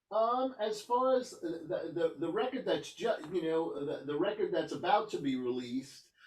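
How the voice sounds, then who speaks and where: A man's high-pitched voice with very wide pitch swings, a moderate pace and hardly any pauses. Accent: New York. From New York. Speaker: rock guitarist. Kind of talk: interview. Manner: halting, many fillers and restarts.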